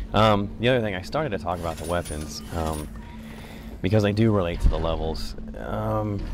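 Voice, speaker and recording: Music plays behind a man who speaks at a fairly quick pace with lively intonation. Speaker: gaming commentator. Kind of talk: casual gameplay commentary.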